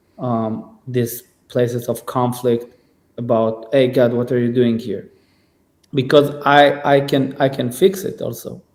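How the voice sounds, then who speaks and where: Fairly slow and fairly even in intonation, a man speaks with a non-native accent. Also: medium pitch for a man. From Israel. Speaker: singer and musician. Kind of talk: podcast conversation. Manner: halting, many repetitions and fillers.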